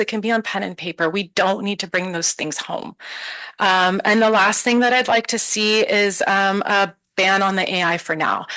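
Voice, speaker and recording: Woman's voice of medium pitch, bright and sharp in tone, with fairly even intonation. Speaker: parent giving public comment. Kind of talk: public comment at board meeting. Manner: fast.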